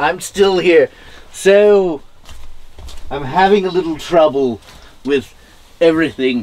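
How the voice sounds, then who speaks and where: A man puts on a character voice, pitched high. He talks fairly slowly with long, frequent pauses. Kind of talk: campy horror-host comedy. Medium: comedy sketch. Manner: prim and proper, mock-distressed.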